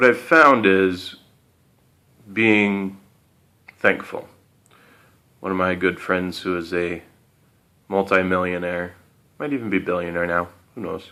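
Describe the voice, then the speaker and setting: Speaking at a fairly slow pace with long, frequent pauses, a man has a very deep, low pitch and a bright, sharp tone. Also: ordinary pitch variation. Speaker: motivational speaker. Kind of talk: motivational talk with guided breathing. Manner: low and slow; hesitant, with fillers.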